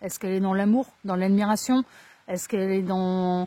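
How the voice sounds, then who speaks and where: A woman's dark, mellow tone at a moderate pace, dry and close with no echo. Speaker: tarot card reader. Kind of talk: tarot reading. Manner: casual.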